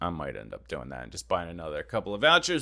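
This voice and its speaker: Recorded very cleanly over a silent background, a man speaks with a bright, sharp tone and vocal fry. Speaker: gaming YouTuber. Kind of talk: casual vlog monologue. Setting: home recording space, moved from attic. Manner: loud, booming.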